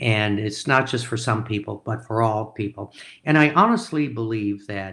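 A man with an American accent talks at a medium pitch in a bright, sharp tone, his pitch varying in an ordinary way. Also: moderate pace. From rural Minnesota. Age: 70s. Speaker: entrepreneur and investor. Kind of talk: interview. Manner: halting.

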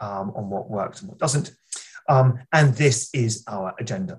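Pitch varies in an ordinary way through this somewhat breathy voice. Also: man. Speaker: webinar chair, medical oncologist. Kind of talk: webinar moderating. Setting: online webinar.

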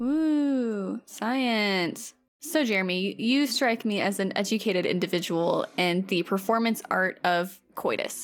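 In a very clean recording with a silent background, a normal speaking voice proceeds at a fairly slow pace with hardly any pauses and very even loudness. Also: woman, fairly high pitch for a woman. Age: 20s. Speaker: podcast co-host. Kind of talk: casual chat.

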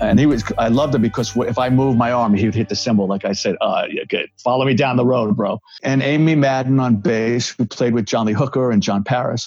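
The speaker has a New York accent and fairly even intonation. The delivery is very fast with hardly any pauses. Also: man, medium pitch for a man. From New York (Bronx). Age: 60s. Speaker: rock guitarist and recovery counselor. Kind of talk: casual interview chat.

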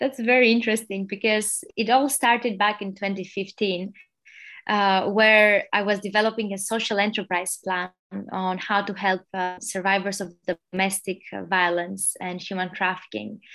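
A woman with an Albanian accent has a bright, sharp tone at a medium pitch. She speaks at a moderate pace with fairly even intonation. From Albania (Tirana). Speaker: social entrepreneur, NGO founder. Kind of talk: interview.

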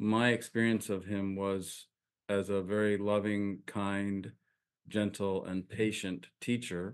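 Over a quiet background, a man with an American accent speaks at a very slow pace, with a fairly low pitch and monotone, flat intonation. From upstate New York. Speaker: minister and spiritual teacher. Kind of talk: spiritual interview.

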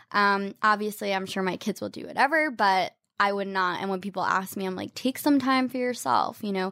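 With an American accent and an ordinary speaking voice, a woman talks at a fairly quick pace with hardly any pauses, medium pitch and ordinary pitch variation, on a very clean recording with a silent background. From US South, Atlanta then New York from age eleven. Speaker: style blogger and influencer. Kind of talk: casual interview chat.

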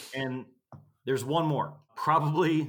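The recording is very clean with a silent background, carrying a man's voice with a Texas accent. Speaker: instructor. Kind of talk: casual interview chat.

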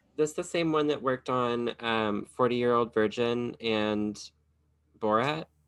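Speaking with an American accent, a man keeps to a medium pitch and ordinary pitch variation. He goes at a fairly slow pace, with long, frequent pauses. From US South, Kentucky. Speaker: podcast host and drag performer. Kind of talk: casual chat.

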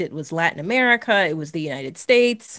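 A woman with a normal speaking voice talks at a moderate pace with ordinary pitch variation. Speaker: horror critic and writer. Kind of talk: casual interview.

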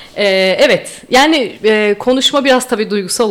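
Noticeable background noise sits behind a woman's voice. She speaks at a fairly high pitch with lively intonation. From Istanbul, Turkey. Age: 30s. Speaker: listener, tour participant. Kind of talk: casual chat.

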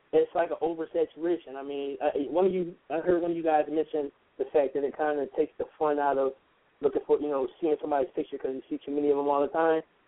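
A man with an American accent, fairly high pitch, very fast delivery and flat, monotone intonation. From Philadelphia. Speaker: rapper.

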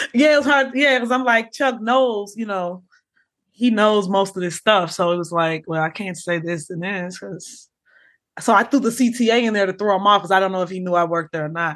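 An unremarkable speaking voice with an American accent, moderate pace and ordinary pitch variation over a quiet background. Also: woman, medium pitch for a woman. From Chicago. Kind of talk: casual chat.

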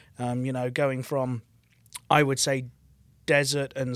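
Speaking in a Birmingham accent, a man holds a medium pitch at a moderate pace. His intonation is monotone and flat. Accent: Birmingham English (Brummie). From England, Birmingham. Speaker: rock musician, lead vocalist and bassist. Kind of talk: casual interview.

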